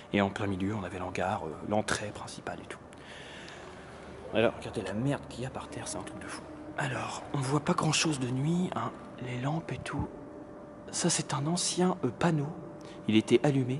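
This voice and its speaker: The voice is soft-spoken, with long, frequent pauses. Noticeable background noise is present. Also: moderate pace. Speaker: urban explorer vlogger. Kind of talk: exploration vlog narration. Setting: outdoors and inside abandoned building at night. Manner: soft-spoken, speaking quietly; animated.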